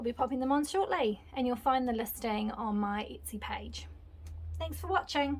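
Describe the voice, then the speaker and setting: With a New Zealand accent, a woman talks at a moderate pace over noticeable background noise. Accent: non-American, New Zealand. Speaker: craft designer and small business owner. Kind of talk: tutorial. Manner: casual, chatty.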